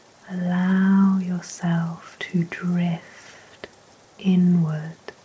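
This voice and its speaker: At a very slow pace, a woman speaks in a fairly low pitch with a gentle, soothing tone and monotone, flat intonation, with noticeable background noise. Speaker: sleep hypnosis guide. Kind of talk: sleep hypnosis talk-down. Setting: rain sounds in background. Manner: slow, gentle, soothing.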